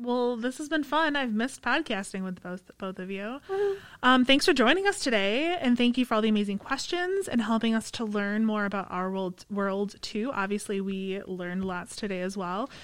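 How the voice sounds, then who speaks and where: An ordinary speaking voice moves at a moderate pace with lively intonation and hardly any pauses. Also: woman, fairly high pitch for a woman. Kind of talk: casual chat. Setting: studio.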